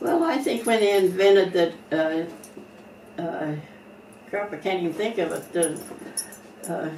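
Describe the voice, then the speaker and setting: Long, frequent pauses break up speech at a moderate pace with ordinary pitch variation, over noticeable background noise. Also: woman. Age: 80s+. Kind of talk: interview answer.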